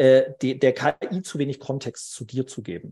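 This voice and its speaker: Somewhat breathy delivery with ordinary pitch variation against a quiet background. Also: man. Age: 30s. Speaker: recruiting consultant. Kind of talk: interview.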